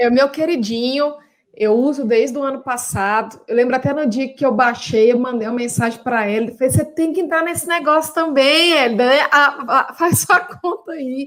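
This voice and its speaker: A woman talks at a high pitch with a Minas Gerais accent. Her pitch varies in an ordinary way, and her pace is moderate. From Minas Gerais, Brazil. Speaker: professor and consultant. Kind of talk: live stream talk for university students.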